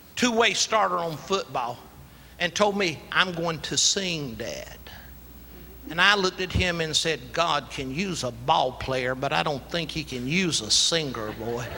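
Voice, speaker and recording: A man with a South Carolina accent speaks at a fairly slow pace in a fairly high pitch, his intonation lively, with noticeable background noise and audible room echo. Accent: Southern US (South Carolina). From US South, rural South Carolina. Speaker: preacher. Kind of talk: sermon. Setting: church.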